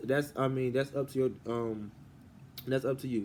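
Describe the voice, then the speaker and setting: A man speaks at a moderate pace and a medium pitch. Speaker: channel owner explaining a money gifting circle. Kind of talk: explanatory walkthrough video. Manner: halting, many fillers.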